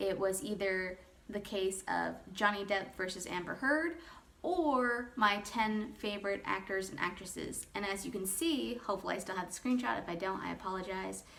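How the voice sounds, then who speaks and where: A woman speaks at a moderate pace and medium pitch with lively intonation. Audible room echo and noticeable background noise surround her voice. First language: not English. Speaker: YouTuber. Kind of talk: casual commentary; reading aloud. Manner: rambling, informal.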